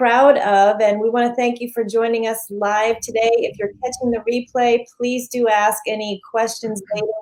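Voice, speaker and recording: With hardly any pauses, the voice keeps a moderate pace and a monotone, flat intonation over noticeable background noise. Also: woman, fairly high pitch for a woman. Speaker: livestream host. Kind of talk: live stream interview hosting.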